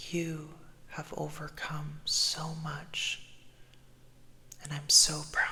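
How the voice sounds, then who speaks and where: A man with a gentle tone and a fairly high pitch speaks very slowly, in flat, monotone intonation with long, frequent pauses. His loudness swings widely, and background noise is noticeable. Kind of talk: positive affirmations. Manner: slow, gentle, repetitive.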